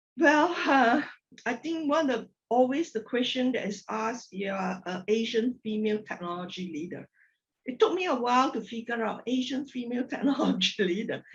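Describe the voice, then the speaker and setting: This woman speaks at a moderate pace with a Malaysian accent, her high pitch rising and falling in lively intonation. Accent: Malaysian, non-native sentence construction. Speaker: corporate technology executive. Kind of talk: podcast interview.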